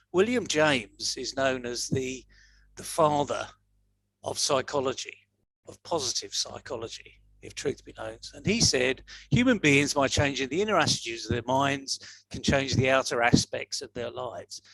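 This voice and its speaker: Speaking at a moderate pace with a Yorkshire accent, a man has a fairly high pitch, ordinary pitch variation and big swings in loudness. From northern England, Leeds, Yorkshire. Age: 60s. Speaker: motivational speaker. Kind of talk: talk to an online audience. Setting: video call livestream.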